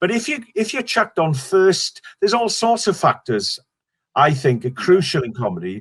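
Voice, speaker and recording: This man's voice sits high and swings very widely in pitch, in a Welsh accent. He talks at a moderate pace. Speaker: stand-up comedian. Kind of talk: interview. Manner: halting.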